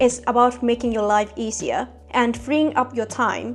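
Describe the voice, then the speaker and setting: Music plays in the background as a woman talks at a moderate pace with a non-native accent. Her pitch is fairly high and her intonation fairly even. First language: not English. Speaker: productivity youtuber. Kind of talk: scripted video monologue.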